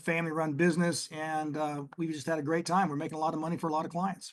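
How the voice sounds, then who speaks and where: With a Texas accent, a man talks at a very fast pace. His high voice stays monotone and flat. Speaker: oil and gas investment executive. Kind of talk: podcast interview.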